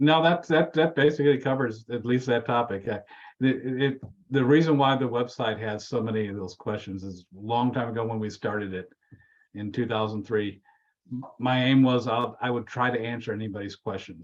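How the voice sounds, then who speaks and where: In an ordinary speaking voice, a man with an American accent talks at a moderate pace and medium pitch with ordinary pitch variation. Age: 60s. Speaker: preacher and church elder. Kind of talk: interview.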